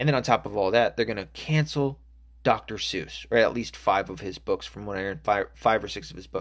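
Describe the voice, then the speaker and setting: A man's voice with vocal fry and an American accent, at a moderate pace, on a very clean recording with a silent background. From Arkansas, US South. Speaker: podcast host. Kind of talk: casual solo podcast rant. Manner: casual, hesitant with fillers, profane.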